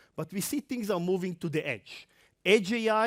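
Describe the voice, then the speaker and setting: Lively intonation with an Israeli accent at a moderate pace, in a dry, close sound with no echo, on a very clean recording with a silent background. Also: man. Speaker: tech industry presenter. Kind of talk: conference talk. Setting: stage with audience.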